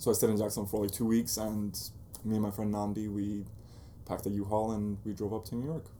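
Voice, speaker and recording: A man talks at a very fast pace with a fairly low pitch and a dark, mellow tone. His intonation is monotone and flat, and the room echo is audible. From Bosnia, then Denmark and Germany; raised in Jacksonville, Florida from age nine. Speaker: photographer and blog founder. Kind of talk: interview. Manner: casual.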